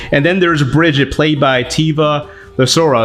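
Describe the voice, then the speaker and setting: An enthusiastic man with a fairly high pitch and an American accent. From Texas. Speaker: movie critic. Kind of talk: casual movie review to camera.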